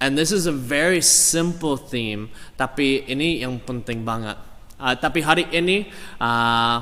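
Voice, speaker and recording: Speech comes very slowly in an English accent, with audible room echo. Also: man, medium pitch for a man, ordinary pitch variation. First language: English (speaking Indonesian). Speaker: pastor. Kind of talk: sermon. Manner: halting.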